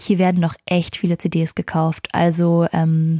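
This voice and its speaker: A woman's fairly low, dark and mellow voice in a flat monotone, with a dry, close sound and no echo. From Berlin, Germany. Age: 20s. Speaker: podcast host, music manager. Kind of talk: casual solo podcast. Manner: frequent filler hesitations.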